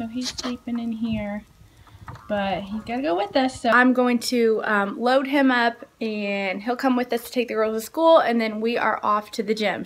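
A woman with a high pitch talks at a moderate pace, her pitch varying in an ordinary way. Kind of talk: casual vlog chat. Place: home room. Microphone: phone near.

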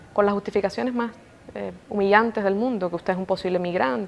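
A woman's voice at medium pitch. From Cuba. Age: 20s. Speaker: TV journalist and news presenter. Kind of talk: interview. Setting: indoor room at an institute.

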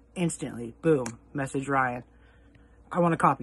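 A man talks in a bright, sharp tone with ordinary pitch variation. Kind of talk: casual storytelling recap. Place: home room. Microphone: headset.

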